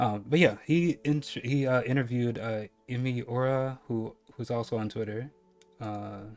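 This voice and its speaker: With music in the background, a man of medium pitch speaks in a slight Caribbean accent with ordinary pitch variation. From US Northeast, New York. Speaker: streamer. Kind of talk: casual chat; reading aloud. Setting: live stream. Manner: halting, many fillers.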